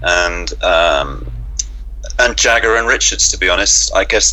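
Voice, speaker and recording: Someone with a London accent speaks at a fairly slow pace. Room echo is audible, and music plays in the background. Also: man. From London, England. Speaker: singer-songwriter and former music journalist. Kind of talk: interview. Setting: radio interview. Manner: hesitant, many fillers.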